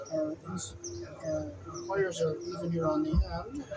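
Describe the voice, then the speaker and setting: Here is a man with an American accent. Loud background noise runs behind him. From United States. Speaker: electrician. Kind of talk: tutorial. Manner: halting. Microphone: camera far.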